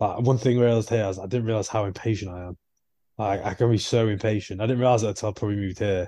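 A man's dark, mellow voice at a very fast pace against a quiet background. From northern England. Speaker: podcast co-host. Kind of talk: casual chat. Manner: animated.

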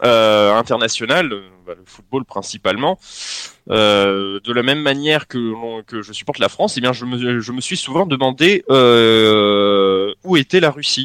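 Speaking very slowly, a man with a medium pitch uses lively intonation and big swings in loudness. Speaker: football supporter. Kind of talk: casual chat.

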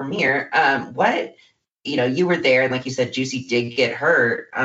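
This man has a normal speaking voice, medium in pitch, with ordinary pitch variation. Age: 20s. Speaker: podcast host. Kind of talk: interview.

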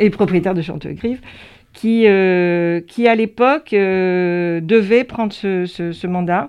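At a very slow pace and with hardly any pauses, a woman speaks in a medium pitch with ordinary pitch variation. Her loudness swings widely. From France, Gironde (Pauillac, Médoc). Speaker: winegrower and business owner. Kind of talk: interview. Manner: halting.

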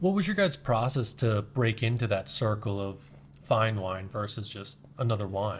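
At a moderate pace, a man with a medium-pitched, somewhat breathy voice talks with ordinary pitch variation on a very clean recording with a silent background. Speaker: podcast host. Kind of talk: interview.

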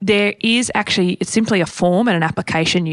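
A woman with an Australian accent talks at a fairly quick pace in a fairly low pitch, her voice dry and close with no echo against a quiet background. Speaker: property podcast co-host. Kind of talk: casual Q&A chat. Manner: forceful, passionate.

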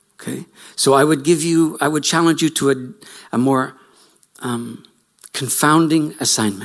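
A man with a Canadian accent speaks at a fairly slow pace, leaving long, frequent pauses. His voice is fairly high, with ordinary pitch variation. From Canada. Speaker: lecturer, writer and farmer. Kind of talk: lecture. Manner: reflective, storytelling.

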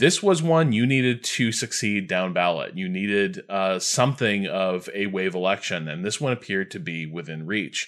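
A man with an American accent talks at a moderate pace and fairly low pitch, barely pausing. The background is quiet. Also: lively intonation. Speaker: games critic. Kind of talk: casual chat.

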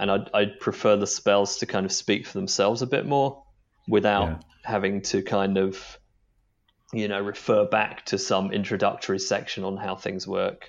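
A plain, everyday voice from a man, fairly low in pitch, fairly even in intonation, at a moderate pace. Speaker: game designer. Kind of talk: interview conversation.

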